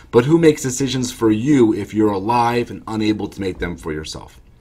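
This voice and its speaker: The pace is fairly quick for this male speaker. Pitch variation stays ordinary. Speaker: estate planning attorney. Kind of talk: explanatory talk to camera. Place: office. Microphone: webcam.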